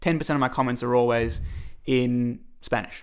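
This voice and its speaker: His accent is Australian. This is a man talking. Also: very clean recording, silent background. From Australia, Melbourne. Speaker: singer-songwriter. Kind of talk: casual chat.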